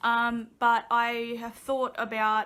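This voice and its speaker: A woman with an Australian accent has a bright, sharp tone and fairly high pitch, heard on a very clean recording against a silent background. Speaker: vlogger. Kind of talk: casual chat. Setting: sitting on couch at home.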